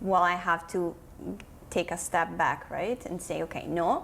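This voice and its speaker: This woman has an Italian accent and a fairly low pitch. She speaks at a fairly slow pace. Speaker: digital marketing consultant. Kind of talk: podcast interview.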